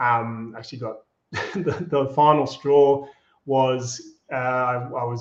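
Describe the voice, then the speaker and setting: A man's medium-pitched, somewhat breathy voice with a slight Australian accent. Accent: Australian, slight, with a broad Bogan tinge. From Australia, Melbourne. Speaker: agency co-founder, former radio host. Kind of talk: interview.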